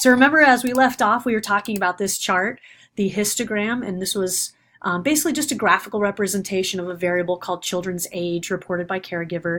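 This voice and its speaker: Ordinary pitch variation marks a woman's speech at a very fast pace. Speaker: university lecturer. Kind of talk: recorded lecture. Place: home room. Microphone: webcam.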